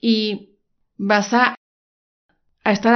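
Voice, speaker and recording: The speaker is a woman. She talks with a Mexican accent. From Mexico, Guadalajara, Jalisco. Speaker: life coach podcaster. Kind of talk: motivational podcast monologue.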